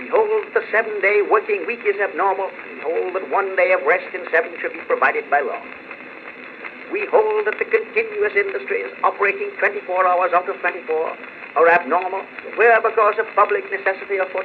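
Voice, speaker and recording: The speech moves at a fairly quick pace with big swings in loudness, over noticeable background noise. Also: man. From United States. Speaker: politician giving a public speech. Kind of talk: political speech, oratory. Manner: forceful, emphatic.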